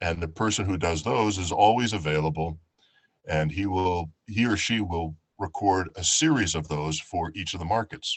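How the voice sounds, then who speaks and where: A man speaks with an American accent at a moderate pace. His very deep, low voice shows ordinary pitch variation. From New York. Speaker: professional audiobook and voiceover narrator. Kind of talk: talk to a community group.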